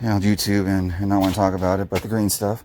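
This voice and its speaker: In a flat monotone, a man speaks with a fairly low pitch. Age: 30s. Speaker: vlogger. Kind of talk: casual vlog monologue. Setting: outdoors doing yard work. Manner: halting, repetitive.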